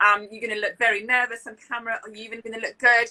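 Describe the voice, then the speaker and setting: A woman with a British accent, upbeat and bright, sharp in tone, fairly high-pitched, at a fairly quick pace. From France, Lille. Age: 30s. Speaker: public speaker, interpreter, lecturer. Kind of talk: interview answer. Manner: smiling, upbeat.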